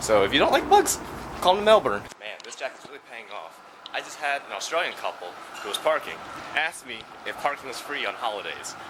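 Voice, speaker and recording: Over noticeable background noise, a man with an American accent talks at a fairly quick pace, his pitch swinging very widely. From United States. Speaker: travel vlogger. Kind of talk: casual vlog narration. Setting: outdoors, walking in city streets. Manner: casual, filler-heavy.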